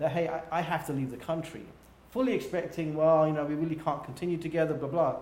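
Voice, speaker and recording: With a British accent, a man speaks very fast in a fairly high pitch and fairly even intonation, with audible room echo. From England. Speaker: business executive. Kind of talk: interview. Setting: livestream.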